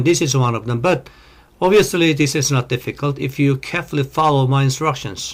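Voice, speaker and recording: The voice belongs to a man. It is somewhat breathy. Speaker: engineering lecturer. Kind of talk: lecture. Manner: slow.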